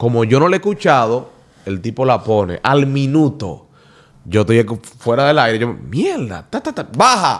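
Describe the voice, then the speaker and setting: His pitch sits in the middle range. The man's speech is fairly slow. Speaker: radio presenter. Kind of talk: casual chat.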